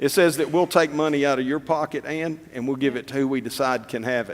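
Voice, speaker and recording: Fairly quick, fairly high-pitched male speech with ordinary pitch variation. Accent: Tennessee. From Tennessee. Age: old. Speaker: political candidate. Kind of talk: candidate forum answers.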